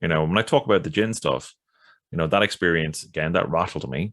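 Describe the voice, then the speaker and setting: In an Irish accent, the voice shows vocal fry and ordinary pitch variation. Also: man. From Ireland. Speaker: podcast guest, occult researcher and witch. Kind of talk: podcast interview answer. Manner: soft-spoken.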